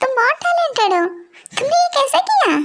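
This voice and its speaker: A woman performs a put-on character voice, squeaky and extremely high. Her pitch swings very widely. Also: moderate pace. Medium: audio drama. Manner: warm, polite.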